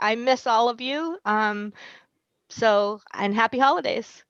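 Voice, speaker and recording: Against a quiet background, a woman talks in a Boston accent. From Boston, Massachusetts. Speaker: school nurse. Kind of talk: casual chat.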